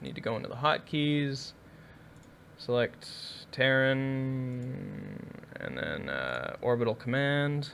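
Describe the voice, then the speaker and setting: A man speaks at a medium pitch and a very slow pace. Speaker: gaming YouTuber. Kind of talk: gameplay commentary. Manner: casual, swearing-filled thinking aloud with fillers.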